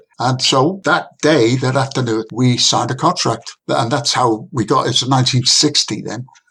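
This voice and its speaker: A man's medium-pitched voice with a bright, sharp tone, ordinary pitch variation, a moderate pace and hardly any pauses. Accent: Liverpool. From northern England, Liverpool. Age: 80s+. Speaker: saxophonist. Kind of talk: interview storytelling.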